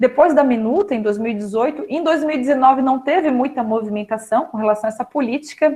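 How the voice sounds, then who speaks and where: The woman's voice carries a dark, mellow tone. Its pitch rises and falls in the usual way. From Florianópolis, Santa Catarina, Brazil. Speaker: pedagogue, special education specialist. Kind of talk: online talk to students.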